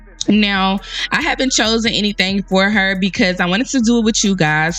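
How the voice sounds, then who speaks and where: Against music in the background, a woman speaks in an animated tone with ordinary pitch variation. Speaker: gaming YouTuber. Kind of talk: tutorial.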